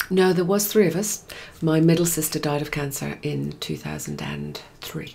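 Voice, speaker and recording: Against noticeable background noise, a woman in an English accent speaks at a moderate pace. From England, of Scottish parents. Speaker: guest sharing spiritual journey. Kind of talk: casual interview.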